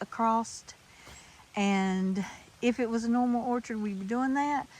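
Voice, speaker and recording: In an ordinary speaking voice, a woman talks at a fairly slow pace with a fairly high pitch and fairly even intonation. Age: 60s. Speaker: home gardener vlogger. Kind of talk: casual vlog walkthrough. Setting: outdoors in backyard.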